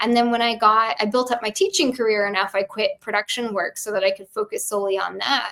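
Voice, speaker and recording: Noticeable background noise sits behind the speaker. She is a woman with a fairly high pitch. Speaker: tarot reader and theater educator. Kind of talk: casual chat.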